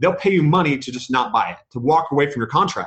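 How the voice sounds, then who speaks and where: At a very fast pace, a man speaks with a fairly high pitch and ordinary pitch variation. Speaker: podcast guest, real estate investor. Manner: fast talker.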